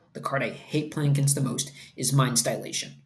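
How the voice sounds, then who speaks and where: A man with an American accent speaks at a fairly high pitch. Room echo is audible, along with noticeable background noise. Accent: Brooklyn, thick only on certain words. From Brooklyn, New York. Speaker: card game writer and format panel member. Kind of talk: casual chat.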